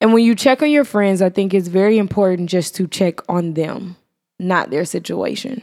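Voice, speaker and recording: A woman with an American accent speaks at a moderate pace, her medium-pitched voice carrying a dark, mellow tone. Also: ordinary pitch variation. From Irving, Texas. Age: young. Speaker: podcast co-host. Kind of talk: casual chat.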